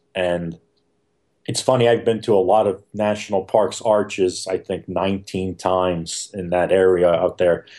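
The voice has a dark, mellow tone and a monotone, flat intonation. It moves at a moderate pace over a quiet background. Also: man, very deep, low pitch for a man. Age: 50s. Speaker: nature photographer and workshop leader. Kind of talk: casual interview.

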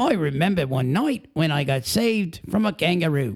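Man doing a put-on character voice in an Australian accent, high pitch with very wide swings, moderate pace, very even loudness. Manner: weird, exaggerated.

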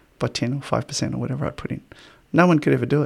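A man speaks with an Australian accent. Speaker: podcast host and lecturer. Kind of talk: casual interview conversation.

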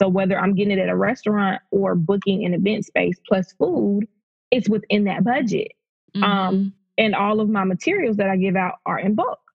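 In a Southern US accent, a somewhat breathy woman speaks at a fairly quick pace with a medium pitch and fairly even intonation. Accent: Southern American. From US South, rural Georgia. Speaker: brand consultant. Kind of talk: interview.

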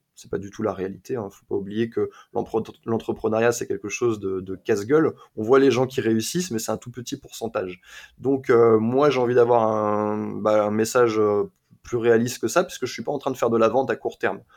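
Recorded very cleanly against a silent background, a man speaks at a moderate pace with a medium pitch, ordinary pitch variation and big swings in loudness. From France, Sarthe. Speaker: YouTuber and dating coach turned entrepreneur. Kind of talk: interview conversation. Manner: hesitant with repetitions.

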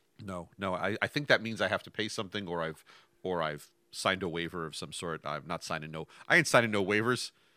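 A man with an American accent speaks at a very fast pace and a very deep, low pitch. His tone is bright and sharp, with ordinary pitch variation. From New York, Westchester. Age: 50s. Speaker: podcast co-host, programmer. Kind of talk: casual chat. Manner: halting, repeats words.

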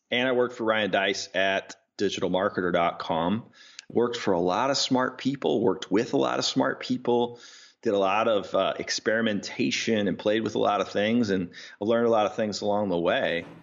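A normal speaking voice from a man, fairly low in pitch with ordinary pitch variation, moderate pace and very even loudness. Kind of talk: casual interview chat.

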